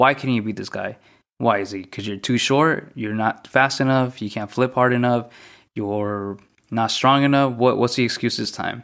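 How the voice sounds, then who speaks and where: The recording is very clean, with a silent background. A man speaks at a medium pitch and moderate pace with fairly even intonation. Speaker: podcaster. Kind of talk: solo rant. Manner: monotone; casual, frustrated.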